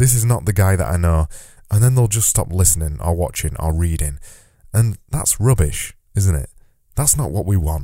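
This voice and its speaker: Lively intonation and a dark, mellow tone mark this moderate-paced voice with a Yorkshire accent. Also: man. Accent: Yorkshire, extended vowels. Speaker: podcast host. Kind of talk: solo podcast monologue. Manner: casual, conversational.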